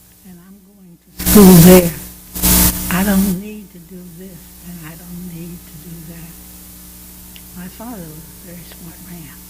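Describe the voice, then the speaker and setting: A woman at a fairly slow pace, with big swings in loudness, long, frequent pauses, audible room echo and noticeable background noise. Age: 90s. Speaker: church member being interviewed. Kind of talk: interview. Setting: church.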